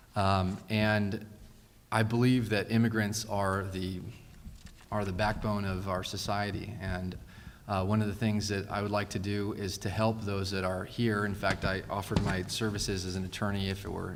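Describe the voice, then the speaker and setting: Amid audible room echo, a man speaks at a moderate pace in a fairly low voice with monotone, flat intonation. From Fresno, California. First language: Spanish. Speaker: city council candidate, attorney. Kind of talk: candidate forum answers. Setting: public forum with audience. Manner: hesitant, many fillers.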